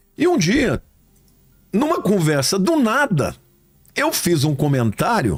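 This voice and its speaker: Over noticeable background noise, a man with a high voice speaks very slowly with long, frequent pauses, very wide pitch swings and very even loudness. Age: 60s. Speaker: pastor. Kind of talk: casual chat.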